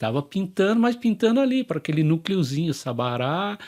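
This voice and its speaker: Very wide pitch swings from a man at a moderate pace, with a dry, close sound with no echo and a very clean recording with a silent background. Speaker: graffiti artist. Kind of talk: casual chat.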